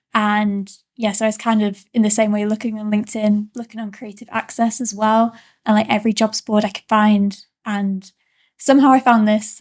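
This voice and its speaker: A woman talks at a fairly quick pace in a fairly high, somewhat breathy voice. The recording is very clean, with a silent background. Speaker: trainee journalist. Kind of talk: casual interview.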